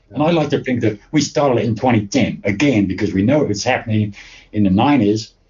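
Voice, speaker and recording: A man talks at a very fast pace in a medium pitch, somewhat breathy. His loudness is very even and his pitch varies in an ordinary way. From England. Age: 70s. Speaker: fan chronicler and festival organizer. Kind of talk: casual interview chat. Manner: halting, many repeated words.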